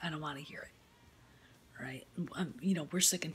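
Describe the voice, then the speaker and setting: Over light background noise, a woman talks at a fairly quick pace in a very deep, low voice with ordinary pitch variation. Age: 50s. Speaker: YouTuber film commentator; vlogger. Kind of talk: opinion rant. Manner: animated. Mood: irritated, ranting. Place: home room. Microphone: phone near.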